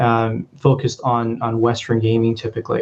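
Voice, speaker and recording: A somewhat breathy man with a Canadian accent at a fairly quick pace. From Canada, Vancouver (Punjabi heritage). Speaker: sociology lecturer, researcher. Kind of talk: academic talk with slides. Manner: hesitant, many fillers and repeats.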